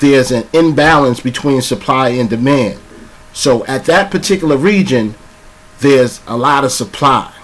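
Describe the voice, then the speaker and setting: Against noticeable background noise, a man speaks in a fairly high pitch. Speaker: trading coach. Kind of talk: tutorial. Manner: casual.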